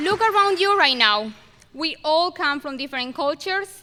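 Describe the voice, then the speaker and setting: Against noticeable background noise, a woman with a non-native accent speaks in a raised, projected voice at a moderate pace. Her pitch is high and her intonation lively. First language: not English. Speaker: valedictorian student speaker. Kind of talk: commencement speech. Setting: stage with audience at graduation ceremony. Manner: halting with self-corrections.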